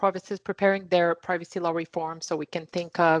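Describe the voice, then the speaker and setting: The speaker uses fairly even intonation at a moderate pace. The sound is dry and close with no echo, over a quiet background. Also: woman. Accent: Quebec. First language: French. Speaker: privacy lawyer panelist. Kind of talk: online panel discussion.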